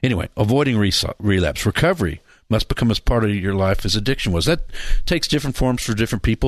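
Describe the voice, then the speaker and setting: A man speaks at a fairly low pitch against a quiet background. The sound is dry and close, with no echo. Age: 60s. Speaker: pastor and radio host in addiction recovery. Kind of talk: radio talk show. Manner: animated.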